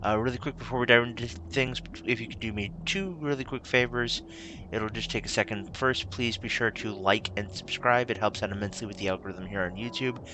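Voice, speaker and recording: A man of fairly low pitch at a fairly quick pace, with ordinary pitch variation over noticeable background noise. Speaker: tabletop game youtuber. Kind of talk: tutorial. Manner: soft-spoken; halting.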